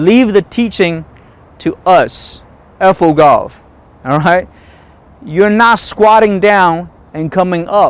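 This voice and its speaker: Speaking at a very slow pace with long, frequent pauses, a man talks in a high pitch for a man. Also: ordinary pitch variation. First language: not English. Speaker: golf instructor. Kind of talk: tutorial. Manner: animated.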